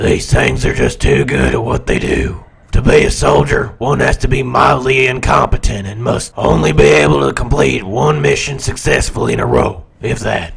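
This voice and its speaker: A raspy, very deep male voice moves at a moderate pace with very wide pitch swings and hardly any pauses. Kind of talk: comic acting. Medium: machinima. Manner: cocky, oblivious, comically dim.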